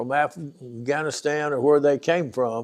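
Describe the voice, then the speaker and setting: A fairly high-pitched man with a rural Tennessee accent talks with ordinary pitch variation over a quiet background. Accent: Southern US, Tennessee rural. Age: 70s. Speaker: veteran telling life story. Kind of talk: oral history interview. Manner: halting, repetitive.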